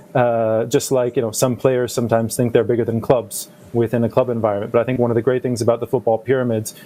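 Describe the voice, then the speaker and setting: Noticeable background noise sits behind a man speaking with a North American accent. His pitch is medium and his intonation fairly even. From United States. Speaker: football league executive. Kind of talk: panel discussion.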